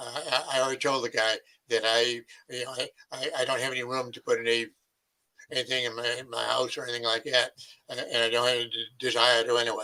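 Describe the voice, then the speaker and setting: Bright and sharp in tone, a man talks at a very fast pace with monotone, flat intonation. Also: medium pitch for a man. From New England (Maine / New Hampshire). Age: 80s+. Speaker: retired army officer, Vietnam veteran. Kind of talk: interview. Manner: halting, many fillers and repeats.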